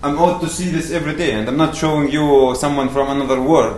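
A man with a Palestinian accent speaks at a fairly quick pace and a fairly high pitch, keeping his intonation fairly even. Noticeable background noise runs under his voice. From Palestine, West Bank. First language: Arabic. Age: 20s. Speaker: activist speaker. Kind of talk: rally-style speech to an audience, mixed with narrating a video. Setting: lecture hall with audience. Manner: earnest, impassioned, appealing; halting, repeats words.

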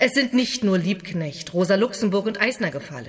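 At a fairly slow pace, a woman speaks at medium pitch, somewhat breathy, with very wide pitch swings. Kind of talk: dramatized reading of 1919 political speech and memoir. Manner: earnest, firm, declamatory and emphatic.

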